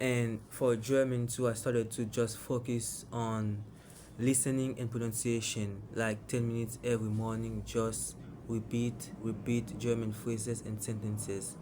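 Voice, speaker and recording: With a non-native accent, a man speaks fairly slowly in a dark, mellow, monotone voice, with audible room echo around him. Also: medium pitch for a man. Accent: own non-native. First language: not English. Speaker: English learner vlogger. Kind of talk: casual monologue vlog. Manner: halting, self-correcting.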